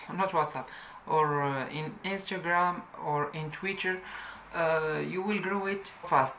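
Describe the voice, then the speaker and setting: A woman's fairly low voice with a non-native accent at a very slow pace, with audible room echo and noticeable background noise. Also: ordinary pitch variation. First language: not English. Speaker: YouTube tutorial creator. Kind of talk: tutorial. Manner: halting.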